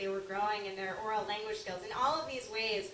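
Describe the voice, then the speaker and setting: Noticeable background noise and audible room echo accompany a woman with a fairly high pitch and an American accent. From Long Island, New York. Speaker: author and early childhood teacher. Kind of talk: speech. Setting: luncheon talk with audience and microphone. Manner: loud.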